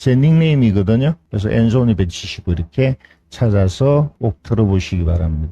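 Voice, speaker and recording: Somewhat breathy and dark, mellow in tone, a man speaks at a fairly low pitch and moderate pace with very wide pitch swings, in a dry, close sound with no echo. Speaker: real estate auction instructor. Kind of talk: lecture.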